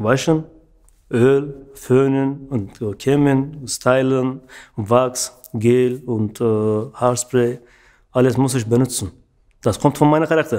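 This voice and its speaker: A man with a dark, mellow tone speaks at a very slow pace with long, frequent pauses. His intonation is fairly even, and the background is quiet. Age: 30s. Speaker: barber; interviewee. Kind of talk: interview monologue. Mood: relaxed, friendly. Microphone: studio mic.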